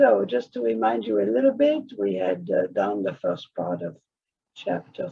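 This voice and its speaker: A man with a non-native accent talks fairly slowly. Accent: foreign accent, noticeable. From outside the US, came to America at fourteen. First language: not English. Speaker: author and course teacher. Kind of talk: recorded lesson.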